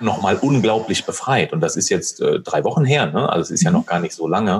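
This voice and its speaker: A man with an ordinary speaking voice, lively intonation, and a fairly quick pace. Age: 30s. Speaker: retail manager and coach. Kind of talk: podcast interview. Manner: many filler sounds (ähm, äh).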